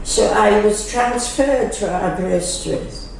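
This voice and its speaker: Noticeable background noise sits under a woman's medium-pitched voice. She speaks very slowly with lively intonation. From Wales. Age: 80s+. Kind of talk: interview answer. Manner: hesitant.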